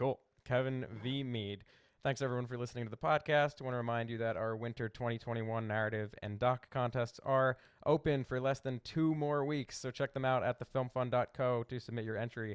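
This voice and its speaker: In a Philadelphia accent, a man of medium pitch talks fairly quickly with fairly even intonation. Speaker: podcast host. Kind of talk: interview podcast; promotional outro. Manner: hurried.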